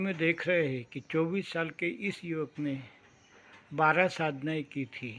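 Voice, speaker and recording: A man with a plain, everyday voice and a fairly high pitch. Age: 60s. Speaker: meditation teacher. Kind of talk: talk on meditation program.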